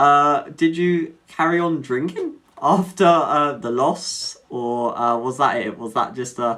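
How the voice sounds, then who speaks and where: Delivery is very slow, with ordinary pitch variation, in an English accent. The tone is bright and sharp. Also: man, fairly high pitch for a man. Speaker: mental health advocate, live streamer. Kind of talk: live stream casual chat. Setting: live stream, home setup. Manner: hesitant, many fillers.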